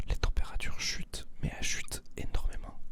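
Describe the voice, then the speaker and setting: Against noticeable background noise, a man whispers fairly slowly. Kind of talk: ASMR soft-spoken talk to camera for insomniacs. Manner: soft-spoken, whispering.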